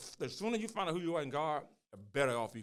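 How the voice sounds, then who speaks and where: The recording is very clean with a silent background. A man speaks in an animated tone. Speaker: pastor and podcast host. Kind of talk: casual chat. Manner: fast.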